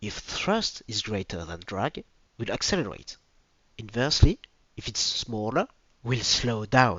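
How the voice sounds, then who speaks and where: A man with a strong French accent speaks fairly slowly at medium pitch, with lively intonation, big swings in loudness and long, frequent pauses. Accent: French accent, self-described as strong. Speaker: video presenter. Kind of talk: educational presentation.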